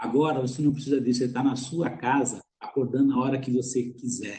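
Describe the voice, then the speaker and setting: Somewhat breathy, medium-pitched male speech with a dark, mellow tone. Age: 60s. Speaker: business executive and mentor. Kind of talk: webinar panel answer.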